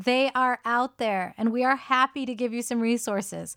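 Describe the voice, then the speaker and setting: With an American accent, a woman talks at a moderate pace and a high pitch, recorded in a dry, close sound with no echo. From US, Indian American. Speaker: podcast co-host, yoga teacher. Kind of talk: casual conversational podcast.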